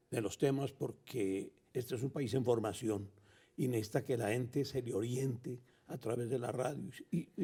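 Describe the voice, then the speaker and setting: A man's somewhat breathy, dark and mellow voice at medium pitch, with ordinary pitch variation and a moderate pace. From Colombia. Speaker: veteran radio announcer. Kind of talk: interview answer.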